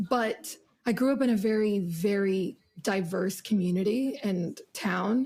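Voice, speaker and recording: A somewhat breathy woman with a dark, mellow tone speaks at a fairly slow pace, her medium pitch showing ordinary variation and her loudness very even. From US (moved from Morocco at six). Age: 20s. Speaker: singer. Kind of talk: podcast interview.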